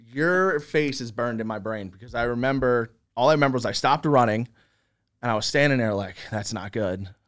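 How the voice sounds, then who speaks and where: A man with an unremarkable speaking voice talks fairly quickly at a medium pitch with ordinary pitch variation, in a very clean recording over a silent background. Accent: American. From Philadelphia, US Northeast. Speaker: gaming content creator. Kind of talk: casual interview.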